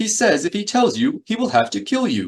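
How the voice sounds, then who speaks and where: A man puts on a character voice, pitched high and delivered at a fairly quick pace. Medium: read story. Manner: prim, fussy.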